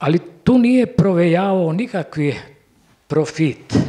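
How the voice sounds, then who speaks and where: A man speaks with high pitch and lively intonation. Behind him the background is quiet. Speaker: war survivor witness; witness. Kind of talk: testimony. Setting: cinema stage with audience. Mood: earnest, emotional recollection. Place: hall. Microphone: handheld.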